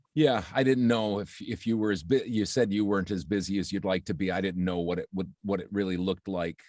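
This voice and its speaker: Against a quiet background, a man with a plain, everyday voice speaks at a fairly quick pace and fairly low pitch, with ordinary pitch variation and hardly any pauses. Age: 60s. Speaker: voiceover artist and marketing coach. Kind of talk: interview.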